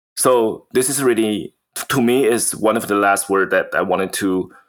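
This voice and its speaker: With a Mandarin accent, a man speaks at a medium pitch and a fairly slow pace, using lively intonation. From Taiwan. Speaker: podcast co-host, MBA student. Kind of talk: casual chat. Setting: video call. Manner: halting.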